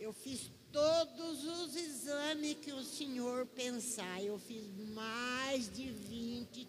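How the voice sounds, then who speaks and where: Lively intonation carries through audible room echo and noticeable background noise. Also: woman. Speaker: church member. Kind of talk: testimony. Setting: church.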